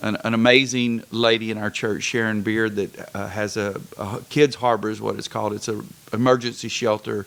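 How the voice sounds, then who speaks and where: A man's medium-pitched, flat monotone at a moderate pace, with hardly any pauses and noticeable background noise. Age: 60s. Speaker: pastor. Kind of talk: casual interview chat.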